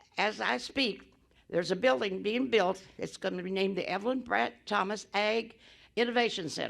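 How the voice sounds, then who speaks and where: With an American accent, a woman talks at a moderate pace in a medium pitch, her lively intonation carrying some vocal fry. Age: 100. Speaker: agricultural business pioneer. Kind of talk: speech at celebration event. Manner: halting, repetitive.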